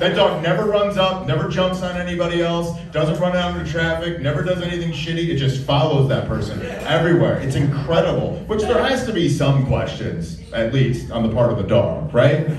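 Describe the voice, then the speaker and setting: A man with a high pitch and ordinary pitch variation speaks amid audible room echo and noticeable background noise. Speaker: stand-up comedian. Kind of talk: stand-up comedy routine. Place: stage.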